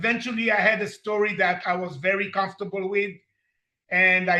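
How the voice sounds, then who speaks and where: A man's raised, projected voice, bright and sharp in tone, high-pitched, at a moderate pace. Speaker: recovery program member, story author. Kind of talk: interview.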